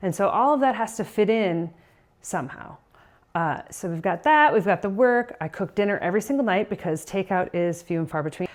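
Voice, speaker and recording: Against a quiet background, a woman speaks at a medium pitch and a fairly quick pace in a plain, everyday voice, with lively intonation. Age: 40s. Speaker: vlogger, working mom and weightlifter. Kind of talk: casual vlog talk to camera. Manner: casual with fillers and self-corrections.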